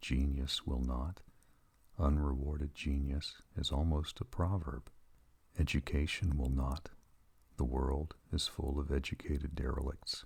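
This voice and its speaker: A soft-spoken man with a very deep, low pitch talks fairly slowly in a gentle tone, his intonation fairly even and touched with vocal fry. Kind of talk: soft-spoken ASMR reading of inspirational quotes. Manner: soft-spoken, gentle, calming.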